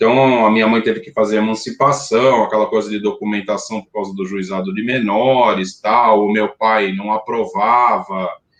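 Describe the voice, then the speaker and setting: A man with a fairly low pitch talks at a moderate pace with hardly any pauses. His intonation stays fairly even while his loudness swings widely. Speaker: rock band singer and songwriter. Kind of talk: interview. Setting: live stream. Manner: hesitant, many fillers.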